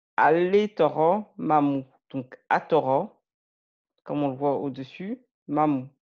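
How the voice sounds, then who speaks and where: A woman's very deep, low voice at a very slow pace, with ordinary pitch variation and long, frequent pauses. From France, Malian heritage. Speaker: language learner and video creator. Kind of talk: tutorial. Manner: halting, many fillers.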